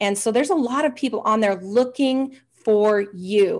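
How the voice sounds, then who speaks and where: Over a quiet background, a woman talks in an energetic, enthusiastic tone with ordinary pitch variation. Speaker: hypnotherapist, interview guest. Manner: fast talker.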